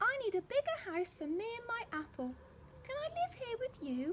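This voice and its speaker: A woman uses a put-on character voice that is squeaky and extremely high-pitched, with very wide pitch swings, a gentle tone and a moderate pace over light background noise. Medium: read story. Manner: polite, gentle.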